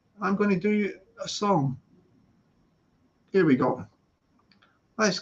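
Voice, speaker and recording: Fairly slow speech in a Scottish accent. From Scotland, long resident in London. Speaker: live streamer addressing chat. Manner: casual, chatty.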